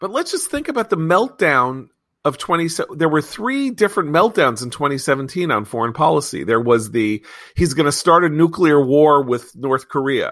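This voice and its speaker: Here a man with an ordinary speaking voice and a fairly high pitch uses lively intonation at a moderate pace, on a very clean recording with a silent background. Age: 50s. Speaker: magazine editor and podcast host. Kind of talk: casual political panel discussion.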